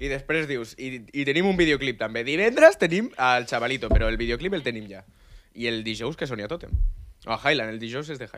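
A man speaks at a medium pitch with an animated tone, ordinary pitch variation and big swings in loudness. There is light background noise. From Catalonia, Maresme (Vilassar de Mar); Catalonia. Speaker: amateur reggaeton musician; radio guest. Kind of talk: casual chat. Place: studio. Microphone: studio mic.

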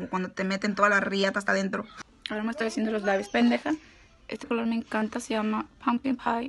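Fairly high in pitch, a woman speaks with a bright, sharp tone and vocal fry. Her intonation is fairly even. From US, California, Mexican-American (Michoacán parents). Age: 20s. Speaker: makeup vlogger. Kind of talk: makeup tutorial. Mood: brash, crude, playful. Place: home room. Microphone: phone near.

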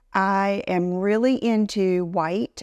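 A woman's voice comes through in a dry sound with no echo against a quiet background. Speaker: fashion vlogger. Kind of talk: casual vlog chat. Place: office. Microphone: lapel.

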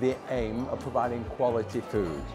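A male speaker at a medium tempo, music clearly audible behind him. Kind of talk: interview answer. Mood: proud, friendly promotion. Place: cafe. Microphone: lapel.

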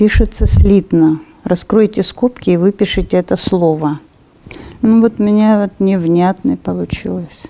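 At a fairly slow pace, a woman talks at medium pitch in a dark, mellow tone with ordinary pitch variation. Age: 70s. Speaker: test taker. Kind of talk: reading exam questions aloud and thinking through answers. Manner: hesitant, thinking aloud. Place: studio.

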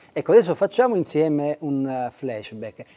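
A man speaks in a dark, mellow tone at a fairly high pitch. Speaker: interviewer, journalist. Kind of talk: interview. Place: hall. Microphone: lapel.

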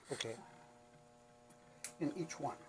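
Loud noise fills the background as a man talks fairly fast. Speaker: letterpress printer. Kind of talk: hands-on machine maintenance demonstration. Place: workshop. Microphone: camera far.

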